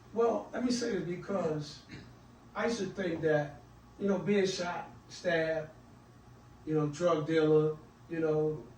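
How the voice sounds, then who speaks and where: Speaking at a fairly slow pace with long, frequent pauses, a man uses a high pitch and ordinary pitch variation, with audible room echo around him. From Washington DC. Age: 60s. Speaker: author and mentor. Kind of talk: podcast interview. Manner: halting, many fillers.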